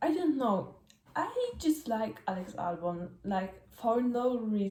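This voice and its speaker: Noticeable background noise sits behind a woman speaking with a Polish accent. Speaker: F1 fan vlogger. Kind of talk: casual vlog commentary. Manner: halting, many fillers.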